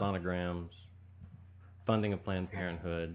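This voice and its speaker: This man has an East Texas accent. His voice sits very deep and low in pitch. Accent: East Texas Southern US. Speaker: political candidate. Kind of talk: radio interview.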